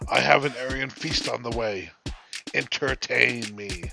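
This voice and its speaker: With music in the background, a man does a put-on character voice at a medium pitch and a moderate pace. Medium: read story. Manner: imperious, contemptuous.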